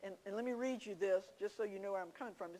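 A woman is speaking. She has a Southern US accent. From South Carolina, Williamsburg County. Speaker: Bible study teacher. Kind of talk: Bible teaching. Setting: church.

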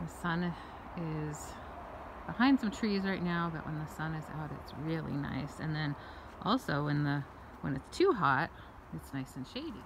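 A woman's very deep, low voice at a moderate pace, lively in intonation, with long, frequent pauses and noticeable background noise. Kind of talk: casual vlog chat. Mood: cheerful, affectionate. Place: garden. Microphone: phone near.

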